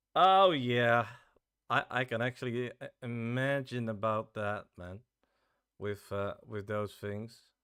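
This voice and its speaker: A man with a Dutch accent speaks at medium pitch and a very slow pace. His loudness swings widely. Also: ordinary pitch variation. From Netherlands. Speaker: game developer streamer. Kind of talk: casual live stream chat. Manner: halting, many fillers.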